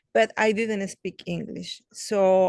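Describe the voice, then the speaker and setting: A woman's medium-pitched voice with a Spanish accent, in a dry, close recording with no echo. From Mexico. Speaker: children's book author. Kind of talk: interview. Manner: halting, many fillers.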